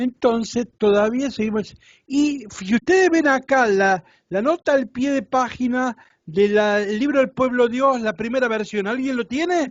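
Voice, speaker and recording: A man with an extremely high pitch talks at a fairly slow pace, with ordinary pitch variation. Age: 60s. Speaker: Bible teacher. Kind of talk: lecture.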